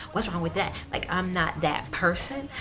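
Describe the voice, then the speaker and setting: Amid noticeable background noise and audible room echo, a woman speaks at a fairly low pitch in an animated tone. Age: 20s. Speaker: beauty vlogger. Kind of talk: casual chat.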